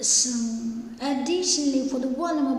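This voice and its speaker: At a moderate pace, a woman talks amid noticeable background noise, her voice carrying audible room echo. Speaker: associate professor of obstetrics. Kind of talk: lecture. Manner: halting, many fillers.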